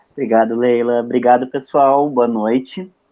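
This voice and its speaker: A man speaks at a medium pitch. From southern Brazil, Porto Alegre. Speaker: psychologist and lecturer. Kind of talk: online lecture. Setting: video call. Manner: casual, hesitant with fillers.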